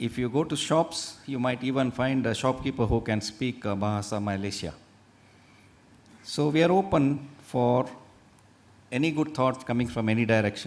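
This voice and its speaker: With an Indian accent, a man talks at a moderate pace in a medium pitch, with ordinary pitch variation and long, frequent pauses. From India, Udupi region (coastal Karnataka). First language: Tulu. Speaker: faculty speaker at medical college orientation. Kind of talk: presentation to new students.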